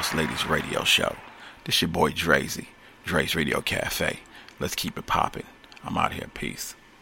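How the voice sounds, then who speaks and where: Long, frequent pauses interrupt speech that otherwise keeps a moderate tempo. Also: man. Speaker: radio host. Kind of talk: radio promo and interview.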